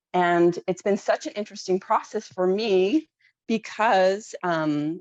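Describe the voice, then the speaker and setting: A woman speaks in a normal speaking voice at medium pitch and a fairly slow pace, with lively intonation. The sound is dry and close, with no echo. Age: 40s. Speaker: webinar participant. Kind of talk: testimony.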